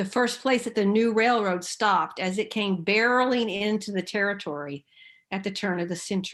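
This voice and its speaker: Her pitch falls in a medium range for a woman. She talks at a moderate pace. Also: ordinary pitch variation. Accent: American. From Oklahoma, US (Enid). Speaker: seminary president and theologian. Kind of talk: lecture.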